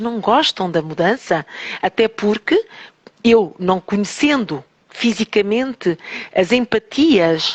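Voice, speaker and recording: The woman's voice sits at a medium pitch, and her intonation is lively. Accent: European Portuguese. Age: 60s. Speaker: teacher and holistic therapist. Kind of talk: radio interview.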